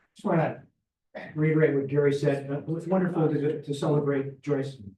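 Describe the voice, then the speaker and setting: A somewhat breathy man at a fairly high pitch and fairly quick pace, with fairly even intonation. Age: 70s. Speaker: Rotary club member. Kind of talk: club meeting announcements. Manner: casual.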